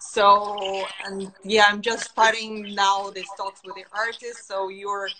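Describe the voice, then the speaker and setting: In a Russian accent, a woman speaks at a very slow pace with a medium pitch. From Russia, Urals. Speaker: interviewer. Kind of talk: casual chat. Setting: video call.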